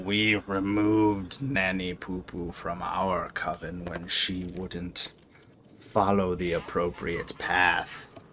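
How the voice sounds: In a put-on character voice, a man drops to a very deep, low pitch. He speaks at a very slow pace.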